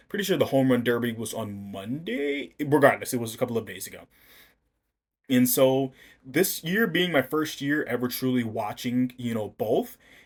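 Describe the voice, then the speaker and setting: Recorded very cleanly against a silent background, a man with an American accent speaks at a medium pitch and a moderate pace. His pitch varies ordinarily, but his loudness swings widely. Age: 20s. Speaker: podcast host. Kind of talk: casual podcast monologue. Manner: filler-heavy, rambling hesitant speech.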